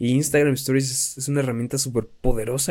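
Speaking very fast, a man has a fairly high pitch and a dark, mellow tone. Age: 20s. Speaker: podcaster and content creator. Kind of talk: casual monologue. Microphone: new mic propped up on pencils.

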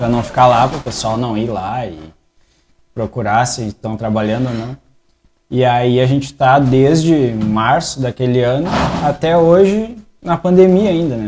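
Over music in the background, a man at medium pitch speaks at a moderate pace with lively intonation and long, frequent pauses. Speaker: barbershop owner. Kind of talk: casual chat. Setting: barbershop studio.

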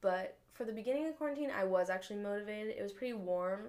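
This voice has an American accent. It belongs to a woman. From Northern California, Marin County. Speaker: college student podcaster. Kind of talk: casual chat. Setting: bedroom, recorded on a laptop. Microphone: laptop mic.

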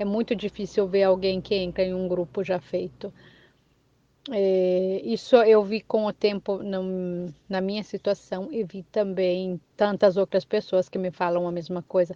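This woman has an ordinary speaking voice at a medium pitch. She talks at a fairly slow pace with fairly even intonation. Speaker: immigrant. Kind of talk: testimony. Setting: recorded voice message.

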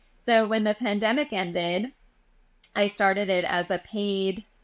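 A woman with a Canadian accent speaks at a fairly slow pace in a plain, everyday voice with fairly even intonation. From Western Canada (Edmonton, Alberta). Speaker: energy healer. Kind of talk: casual chat.

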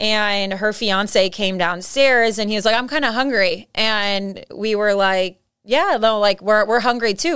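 In an American accent, a woman with a fairly high pitch and a bright, sharp tone speaks with hardly any pauses. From San Diego, California. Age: 20s. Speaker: title insurance rep, former college soccer player. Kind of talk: casual interview.

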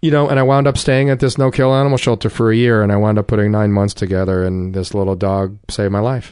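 Delivered at a very fast pace with hardly any pauses, the speech has a New Jersey accent. Loudness stays very even over a quiet background. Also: man, fairly low pitch for a man, ordinary pitch variation. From North Jersey. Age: 40s. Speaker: recovering addict. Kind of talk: testimony.

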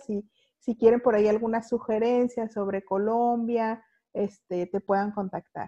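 The voice has a dark, mellow tone and a Guadalajara accent, with ordinary pitch variation. The sound is dry and close, with no echo and a quiet background. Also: woman. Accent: Guadalajara sing-song. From Mexico, Guadalajara. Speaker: podcast host. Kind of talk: casual interview chat. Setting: video call.

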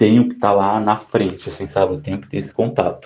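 Dark, mellow tone from a man with a fairly low pitch. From São Paulo, Brazil. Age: 20s. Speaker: music fan telling a concert story. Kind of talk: personal story, pre-recorded.

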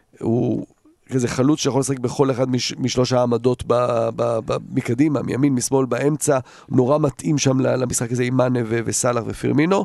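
The speaker uses a plain, everyday voice at a moderate pace. The intonation stays fairly even. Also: man, medium pitch for a man. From Jerusalem, Israel, partly raised in the Netherlands. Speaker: football pundit. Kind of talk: casual chat.

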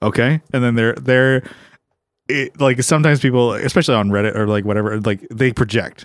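Speaking with an ordinary speaking voice, a man keeps a medium pitch and ordinary pitch variation. He talks at a fairly quick pace. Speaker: co-host, musician. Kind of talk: casual comedic banter. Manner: laid-back.

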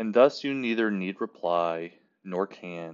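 A man's voice with a very deep, low pitch. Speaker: podcast host. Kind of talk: poem reading. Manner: slow, measured, reverent.

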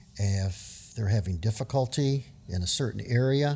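A man speaks at a medium pitch and a fairly slow pace. His voice is somewhat breathy, with ordinary pitch variation. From US South, New Orleans. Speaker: retiring school district educator. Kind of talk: casual interview.

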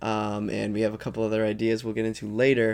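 On a very clean recording with a silent background, a man speaks. His pitch is medium and his pace fairly quick. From Vermont (near Burlington). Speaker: podcast co-host, college student. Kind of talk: casual chat. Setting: home bedroom.

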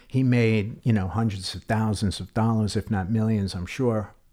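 Moderate-paced speech with a New York accent, a dark, mellow tone and fairly even intonation, in a very clean recording with a silent background. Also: man. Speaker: retired police detective. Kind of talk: podcast interview.

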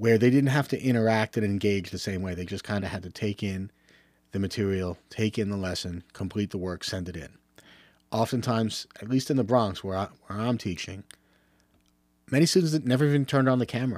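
At a fairly quick pace, a man with a normal speaking voice and a fairly low pitch talks with ordinary pitch variation on a very clean recording with a silent background. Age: 50s. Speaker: teacher and football coach. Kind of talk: solo podcast monologue. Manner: casual, with filler words.

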